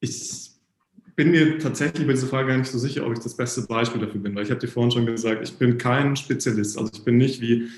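A man at a very fast pace, medium-pitched and somewhat breathy, with fairly even intonation. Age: 30s. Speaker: guest sharing personal life experience. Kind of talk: casual interview chat.

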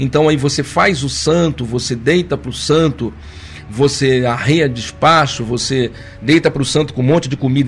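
A man speaks at a moderate pace with a fairly high pitch. His intonation is fairly even, and background noise is noticeable. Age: 50s. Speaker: spiritist study leader. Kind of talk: lecture. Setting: live stream.

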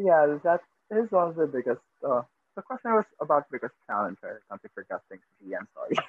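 Talking at a fairly quick pace, a man's voice shows big swings in loudness. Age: 30s. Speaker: podcast guest, coworker of host. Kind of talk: casual chat.

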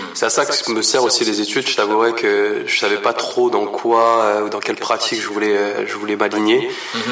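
Noticeable background noise fills the recording. Over it, a man talks at a moderate speed. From France, Paris region. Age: 30s. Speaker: artist. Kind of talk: interview. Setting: art gallery. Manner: halting, repeats words.

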